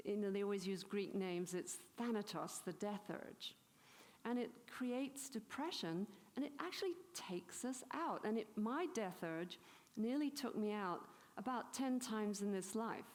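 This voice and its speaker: With an English accent, a woman speaks in a fairly high pitch and lively intonation. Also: moderate pace, very even loudness. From England. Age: 70s. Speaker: spiritual teacher. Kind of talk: conference talk. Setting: stage with audience. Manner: animated.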